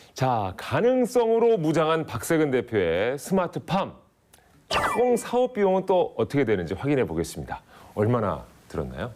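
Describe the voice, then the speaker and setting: Over noticeable background noise, a man talks at a moderate pace in a fairly high pitch, with very wide pitch swings. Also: very even loudness. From Daejeon, Chungcheong region, Korea. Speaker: TV show host. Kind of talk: studio talk show interview. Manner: animated.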